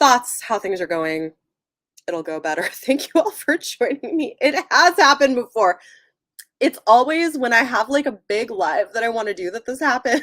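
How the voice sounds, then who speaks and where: The pitch swings very widely at a moderate pace. The sound is dry and close, with no echo. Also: woman, high pitch for a woman. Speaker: book YouTuber. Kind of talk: livestream chat. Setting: livestream. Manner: casual, halting.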